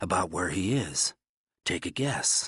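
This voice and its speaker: Using a raspy, put-on character voice, a man speaks at a fairly slow pace in a dry, close sound with no echo. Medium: read story. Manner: terse, cold, clipped.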